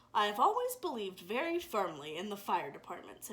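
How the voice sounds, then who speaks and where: A woman's put-on character voice, medium in pitch and fairly quick in pace. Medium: read story. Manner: formal, grandiose phrasing.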